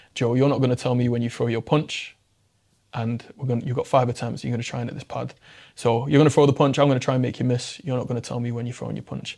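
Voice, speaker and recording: With an English accent, a man of medium pitch talks at a very fast pace in a dark, mellow tone against a quiet background. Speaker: mental health public speaker. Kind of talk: casual interview chat. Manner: animated.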